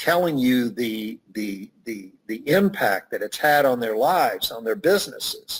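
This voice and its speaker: A man speaks at a fairly slow pace with very wide pitch swings. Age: 60s. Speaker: networking expert and author. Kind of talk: interview.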